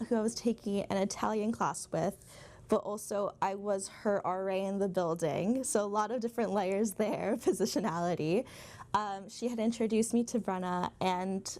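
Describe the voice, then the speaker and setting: Speaking at a moderate pace, a woman uses an ordinary speaking voice, her medium pitch showing ordinary pitch variation. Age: 20s. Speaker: graduate film student. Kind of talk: documentary interview.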